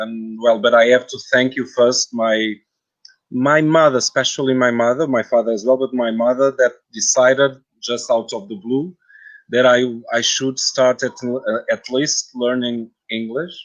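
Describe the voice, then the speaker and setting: Speaking at a moderate pace with a Portuguese accent, a man uses a medium pitch and fairly even intonation. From Portugal. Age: 40s. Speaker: translator and guide. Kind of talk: interview. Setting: live video stream. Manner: halting.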